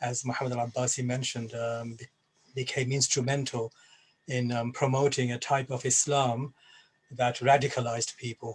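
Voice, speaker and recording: A somewhat breathy man speaks at a medium pitch and a moderate pace. His intonation is monotone and flat. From Bangladesh, then England. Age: 60s. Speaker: Islamic scholar and former jihadist. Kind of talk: personal testimony at a panel event. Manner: hesitant, many fillers and repeats.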